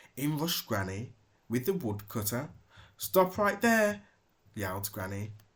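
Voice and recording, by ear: The text is read aloud in a natural voice.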